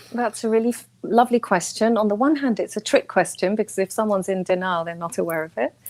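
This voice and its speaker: Talking at a very fast pace with hardly any pauses, a woman uses a fairly high pitch and ordinary pitch variation, in a dry, close sound with no echo. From Chile, raised in England from age six. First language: Spanish. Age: 40s. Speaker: author and spiritual healer. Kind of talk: casual interview. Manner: animated.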